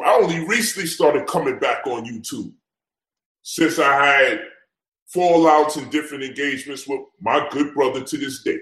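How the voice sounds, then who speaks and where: A man in a New York accent, with lively intonation and a moderate pace. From US Northeast. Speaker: event promoter. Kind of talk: heated debate.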